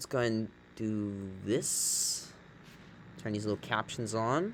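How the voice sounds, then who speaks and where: A soft-spoken man of medium pitch at a fairly slow pace, with fairly even intonation. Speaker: YouTube reaction streamer. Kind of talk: casual reaction commentary.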